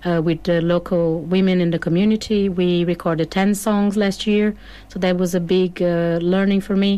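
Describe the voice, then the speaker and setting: A woman speaks with a Brazilian accent at a medium pitch and a moderate pace. Her intonation is monotone and flat, and her loudness stays very even. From southern Brazil, Porto Alegre. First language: Portuguese. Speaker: singer-songwriter. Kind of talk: studio interview. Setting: radio studio.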